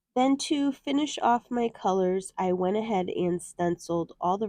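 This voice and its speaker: Against a quiet background, a woman with a medium pitch and a dark, mellow tone talks at a moderate pace with ordinary pitch variation. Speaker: card making crafter. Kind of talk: tutorial. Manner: friendly, conversational.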